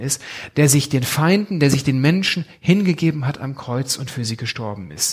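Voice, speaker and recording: In a normal speaking voice, a man with a fairly high pitch uses lively intonation at a moderate pace. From Germany, Bünde (East Westphalia). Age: 40s. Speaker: pastor. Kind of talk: sermon.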